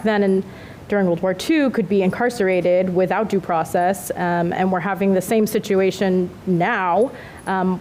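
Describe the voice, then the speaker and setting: At a moderate pace, a woman speaks with a medium pitch, fairly even intonation and very even loudness over noticeable background noise. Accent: American. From Southern California. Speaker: city mayor. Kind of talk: panel discussion.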